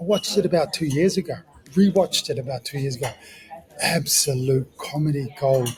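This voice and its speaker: The speaker has a New Zealand accent and talks at a fairly quick pace with ordinary pitch variation, over noticeable background noise. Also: man, fairly high pitch for a man. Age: 40s. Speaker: ex-professional rugby league player. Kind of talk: podcast interview. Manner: animated.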